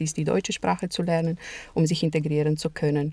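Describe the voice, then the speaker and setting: In a Romanian accent, a woman speaks at a fairly low pitch with a dark, mellow tone. Her intonation stays monotone and flat. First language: Romanian (speaking German). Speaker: translator and interpreter, lecturer. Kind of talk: interview.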